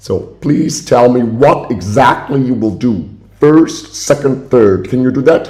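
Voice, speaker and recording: A man at a fairly slow pace, with noticeable background noise and audible room echo. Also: medium pitch for a man, ordinary pitch variation. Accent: German. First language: German. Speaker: caller. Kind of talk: heated phone complaint. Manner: loud.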